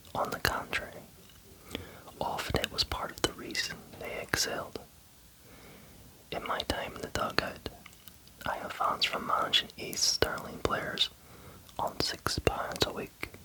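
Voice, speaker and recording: Someone whispers at a fairly slow pace with long, frequent pauses while noticeable background noise carries on. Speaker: ASMR creator. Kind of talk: ASMR book reading. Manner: whispered.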